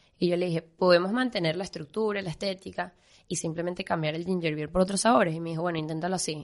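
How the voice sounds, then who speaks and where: Moving at a very fast pace, a woman speaks with ordinary pitch variation. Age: 20s. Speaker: pastry chef. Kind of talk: interview.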